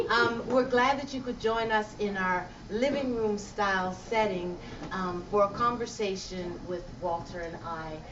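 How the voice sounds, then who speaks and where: Noticeable background noise and audible room echo fill the recording. Within it, a woman speaks fairly slowly. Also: medium pitch for a woman, ordinary pitch variation. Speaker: conversation host. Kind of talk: public conversation. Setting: library event with audience. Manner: loud.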